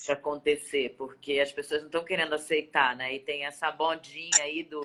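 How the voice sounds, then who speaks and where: A bright, sharp voice with a strong Rio de Janeiro accent, moderate in pace and monotone, with flat intonation. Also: woman. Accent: strong carioca. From Rio de Janeiro, Brazil. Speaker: singer and voice-over artist. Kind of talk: casual interview chat. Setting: video call.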